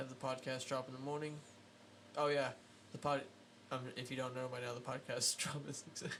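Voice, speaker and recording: Noticeable background noise sits behind a medium-pitched man who talks at a fairly quick pace in a monotone, flat intonation with long, frequent pauses. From small town. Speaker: podcast host and drummer. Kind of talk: casual chat. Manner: loud.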